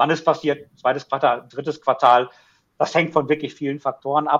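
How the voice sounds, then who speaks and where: A man's fairly high voice at a very fast pace, flat and monotone. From Ruhr area, Germany. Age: 40s. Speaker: auto finance sales executive. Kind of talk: interview.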